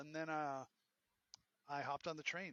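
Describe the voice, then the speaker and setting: A man with a Boston accent, fairly high-pitched, bright and sharp in tone, in a dry, close recording without echo. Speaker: entrepreneur and professor. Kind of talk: interview. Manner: animated.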